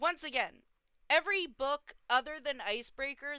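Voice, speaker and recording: A woman speaks at a moderate pace with a bright, sharp, animated tone. Her intonation is lively, and the recording is very clean with a silent background. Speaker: reaction commentator. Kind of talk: reaction commentary.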